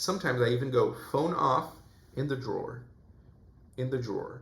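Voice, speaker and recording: A man speaks at medium pitch with vocal fry and ordinary pitch variation. His pace is moderate, and room echo is audible. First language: Portuguese. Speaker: self-improvement youtuber. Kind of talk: vlog monologue.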